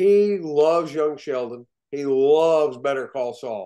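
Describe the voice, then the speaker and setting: Lively intonation from a man with a dark, mellow tone, over a quiet background. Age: 60s. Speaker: actor. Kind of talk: interview. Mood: warm, enthusiastic storytelling. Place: home room. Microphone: video call.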